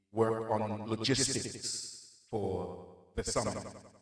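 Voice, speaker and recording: A man speaks very slowly, with audible echo in the room. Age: 60s. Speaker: minister. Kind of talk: testimony. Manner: halting.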